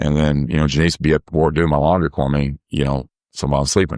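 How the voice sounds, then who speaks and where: Recorded with a dry, close sound and no echo, a man with vocal fry speaks at a very fast pace in a monotone, flat intonation. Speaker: softball umpire. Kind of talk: casual chat. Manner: halting.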